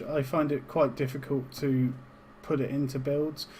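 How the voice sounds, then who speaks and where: The speaker has a British accent, and audible room echo surrounds the voice. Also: man. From UK. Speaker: game tutorial streamer. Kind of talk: tutorial. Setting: live stream. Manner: casual, with fillers.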